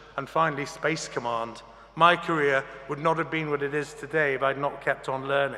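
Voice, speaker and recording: There is noticeable background noise behind this man. He speaks at a moderate pace with fairly even intonation. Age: 60s. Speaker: graduation speaker. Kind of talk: commencement speech. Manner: formal.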